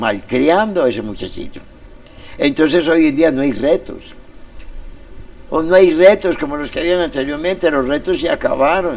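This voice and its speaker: Against noticeable background noise, a man with a fairly high pitch talks at a moderate pace with lively intonation and long, frequent pauses. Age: 70s. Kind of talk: interview on community radio. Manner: animated.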